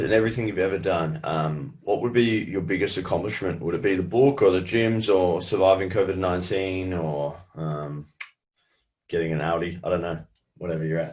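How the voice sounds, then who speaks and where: Against a quiet background, the speaker talks at a moderate pace with lively intonation. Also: man. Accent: Australian. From Australia. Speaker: podcast host, gym owner. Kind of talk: interview.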